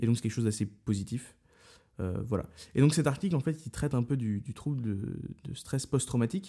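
A man talks at a fairly quick pace in a medium-pitched, somewhat breathy voice with a dark, mellow tone and lively intonation. The recording is very clean, with a silent background. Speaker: podcast host, medical student. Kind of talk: casual chat.

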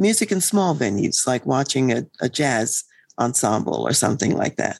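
A woman speaks at a moderate pace with very even loudness, her sound dry and close with no echo. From US East Coast. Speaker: leadership consultant and psychologist. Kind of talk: interview.

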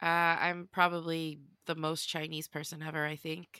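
Her bright, sharp tone sits at a fairly low pitch, and the woman keeps fairly even intonation on a very clean recording with a silent background and a dry, close sound with no echo. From Sweden. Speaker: comedian. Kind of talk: casual chat.

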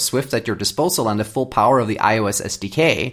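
A man talks at a fairly quick pace with a Swedish accent. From Sweden. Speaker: software developer. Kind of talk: interview.

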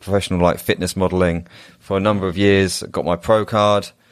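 With an English accent, a man speaks fairly quickly in a very deep, low, monotone voice on a very clean recording with a silent background. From England. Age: 30s. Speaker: men's coach and entrepreneur. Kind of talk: casual interview chat.

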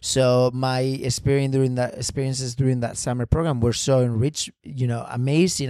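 At a fairly quick pace, a man talks in a medium pitch on a very clean recording with a silent background. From Spain. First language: Spanish. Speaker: ballet dancer. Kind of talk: interview. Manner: halting.

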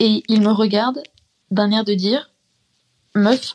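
With fairly even intonation, a woman talks rather unhurriedly. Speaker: student, listener. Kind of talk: anecdote. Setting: recorded voice message.

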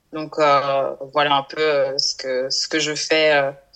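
The speaker is a woman with a very deep, low pitch. She talks at a very slow pace. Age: 30s. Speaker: marketing worker and women's health association founder. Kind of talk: interview. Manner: halting, many fillers.

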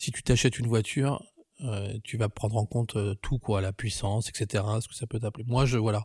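Recorded dry and close with no echo, a man's voice comes through somewhat breathy. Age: 30s. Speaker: photographer and filmmaker. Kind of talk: casual personal testimony.

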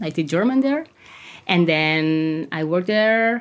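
A woman's fairly low voice with a Catalan accent and lively intonation, at a moderate pace, on a very clean recording with a silent background. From Catalonia, Spain. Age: 30s. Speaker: language teacher and mental health activist. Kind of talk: interview testimony.

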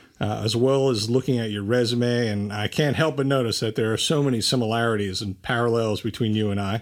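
A man in a New Jersey accent, medium-pitched, fairly quick and with fairly even intonation. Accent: New Jersey American. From New Jersey, Bridgewater. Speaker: podcast host. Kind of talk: interview.

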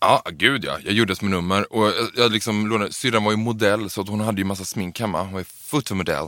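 The speech moves at a fairly quick pace with fairly even intonation and a bright, sharp tone. The recording is very clean, with a silent background. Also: man, fairly low pitch for a man. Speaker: drag performer and trainee librarian. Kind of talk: casual interview.

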